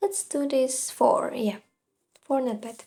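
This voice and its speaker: A woman speaks with a non-native accent. Her pitch is high. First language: not English. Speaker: gaming and art content creator. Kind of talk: casual commentary while drawing. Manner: hesitant, many fillers.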